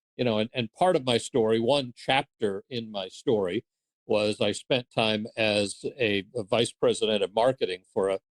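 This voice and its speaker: Moderate pace from a man at medium pitch, ordinary pitch variation, and a dry, close sound with no echo. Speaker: audiobook narrator. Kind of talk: interview. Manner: halting, many fillers; playful, ironic.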